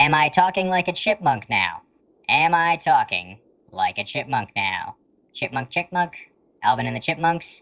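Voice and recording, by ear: In a put-on character voice of middle pitch, the speaker talks at a moderate pace.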